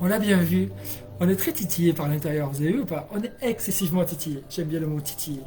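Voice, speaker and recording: Music plays in the background. The delivery is very fast, with lively intonation. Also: man, fairly high pitch for a man. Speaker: energy healer and hypnotherapist. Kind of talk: live stream talk. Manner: animated.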